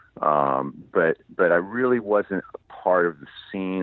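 In an American accent, a man speaks with a very deep, low pitch and ordinary pitch variation. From Los Angeles. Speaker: singer-songwriter. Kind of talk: casual interview.

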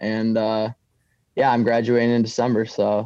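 A man at medium pitch talks at a fairly slow pace. His intonation is monotone and flat, over a quiet background. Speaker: caller, college student. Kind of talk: casual chat.

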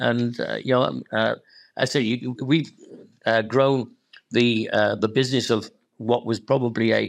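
Against a quiet background, a man with a Welsh accent speaks at a moderate pace and medium pitch. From Wales. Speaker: football club chairman. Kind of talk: interview.

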